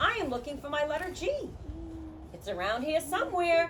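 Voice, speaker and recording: A woman's put-on character voice, high-pitched and fairly quick, with clear background noise. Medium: read story. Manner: earnest, eager.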